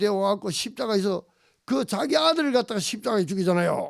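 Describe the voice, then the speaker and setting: An animated man with a Gyeongsang accent and lively intonation, on a very clean recording with a silent background. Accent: Gyeongsang dialect Korean. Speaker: pastor. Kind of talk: sermon.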